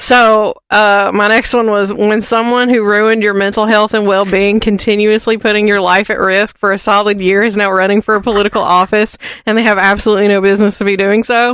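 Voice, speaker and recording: Speaking at a fairly quick pace with hardly any pauses, a woman with an American accent uses a medium pitch. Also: very even loudness. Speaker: podcast co-host. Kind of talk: casual chat. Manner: animated.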